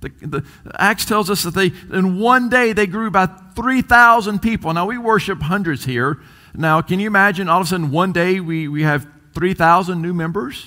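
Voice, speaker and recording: A man speaks in a raised, projected voice at a moderate pace, his high pitch and bright, sharp tone carried with ordinary pitch variation. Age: 40s. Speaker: pastor. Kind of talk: sermon. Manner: halting, frequent fillers and repetitions.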